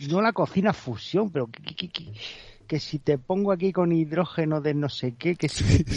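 At a moderate pace, a man speaks in a plain, everyday voice with a fairly high pitch and lively intonation. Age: 50s. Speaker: radio show contributor. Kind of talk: casual chat.

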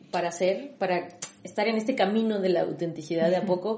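Noticeable background noise runs under the speech. Audible room echo is present as well. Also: woman. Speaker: podcast host, personal branding consultant. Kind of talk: casual chat.

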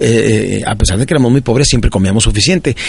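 With noticeable background noise behind him, a man speaks in an animated tone at a fairly quick pace, his medium pitch showing ordinary variation. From northern Mexico (Ciudad Juárez, Chihuahua). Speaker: motivational speaker. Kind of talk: motivational talk.

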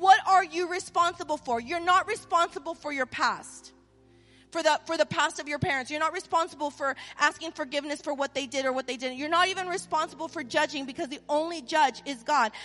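A woman's high, raised, projected voice with an American accent, fairly quick pace and ordinary pitch variation, over music in the background. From Southern California, US. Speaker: pastor. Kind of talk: live church sermon with call-and-response to the congregation. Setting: church stage with live audience, also streamed. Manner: conversational, repeating 'right?' and restarting words; animated, exhorting, rising and pressing for amens.

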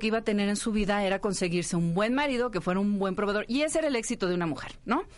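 Against a quiet background, a woman talks very fast at a fairly high pitch with lively intonation. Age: 40s. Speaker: communicator and writer. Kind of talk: casual chat.

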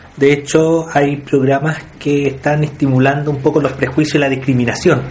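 With noticeable background noise, a fairly high-pitched man speaks at a moderate pace in a monotone, flat way and at very even loudness. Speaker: focus group moderator. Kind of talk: group discussion moderation. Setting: in-person group meeting room.

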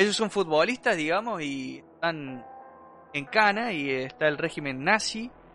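A man speaks at a fairly slow pace and fairly high pitch with very wide pitch swings, noticeable background noise behind him. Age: 30s. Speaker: podcast host. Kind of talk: casual chat.

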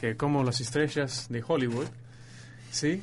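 Audible room echo surrounds a man's medium-pitched voice. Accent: English. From northern England, Leeds. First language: English (speaking Spanish). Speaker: astrophysics student. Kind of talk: radio interview, explaining astronomy. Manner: halting, searching for words.

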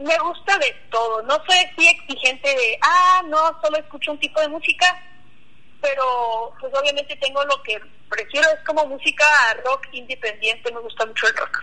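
A raised, projected voice at a moderate pace amid noticeable background noise. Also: woman, high pitch for a woman, ordinary pitch variation. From Mennonite community near Cuauhtémoc, Chihuahua, Mexico. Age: 20s. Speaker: Mennonite YouTuber. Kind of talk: interview.

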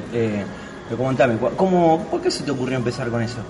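A man with an Argentine accent speaks at a very fast pace. Audible room echo and noticeable background noise fill the recording. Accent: Rioplatense Argentine Spanish. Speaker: podcast host. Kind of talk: casual interview.

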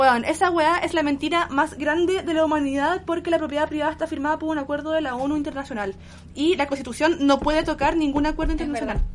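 The speech runs at a very fast pace with fairly even intonation over noticeable background noise. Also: woman, high pitch for a woman. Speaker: podcast co-host. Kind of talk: casual chat. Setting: recording in her apartment.

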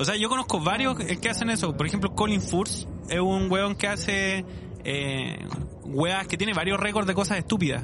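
Speaking with a Chilean accent, a man uses a high voice at very even loudness, amid audible room echo and noticeable background noise. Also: ordinary pitch variation, moderate pace. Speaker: podcast host. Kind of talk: casual chat.

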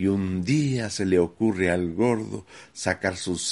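At a very slow pace, a man with a very deep, low pitch talks with ordinary pitch variation. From Medellín, Colombia. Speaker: community theatre founder. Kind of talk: testimony.

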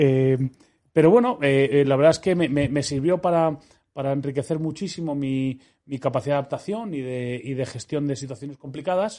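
At a moderate pace, a man with a dark, mellow tone talks at a fairly high pitch with ordinary pitch variation. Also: quiet background. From Spain, Madrid. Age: 40s. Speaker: entrepreneur and ski accident survivor. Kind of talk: interview.

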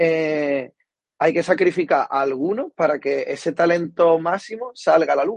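A man with a high-pitched voice speaks at a moderate pace with ordinary pitch variation, the sound dry and close with no echo. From Cádiz, Andalusia, Spain. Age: 20s. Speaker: strength and conditioning coach. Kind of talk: interview.

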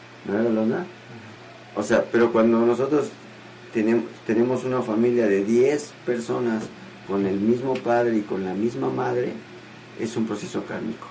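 Over noticeable background noise, a man speaks at a moderate pace in a medium pitch with ordinary variation, leaving long, frequent pauses. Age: 50s. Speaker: spiritual teacher hosting a show. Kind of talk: question and answer talk. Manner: animated.

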